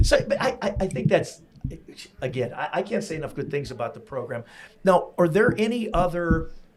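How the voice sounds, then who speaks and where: A man with an American accent speaks at a high pitch and fairly quick pace, his pitch swinging very widely. Noticeable background noise is present. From US Northeast, Pennsylvania. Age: 60s. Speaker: podcast host. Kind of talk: casual interview chat. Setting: in-person recording at a venue.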